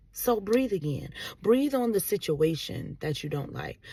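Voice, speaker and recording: This voice has a dark, mellow tone with vocal fry and lively intonation, captured in a very clean recording against a silent background. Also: woman. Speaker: vlogger. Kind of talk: motivational talk. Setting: in a car. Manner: loud.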